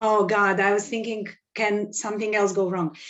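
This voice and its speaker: A woman talks at a moderate pace in an unremarkable speaking voice. Her pitch is fairly high. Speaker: economist. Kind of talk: webinar presentation. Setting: video call.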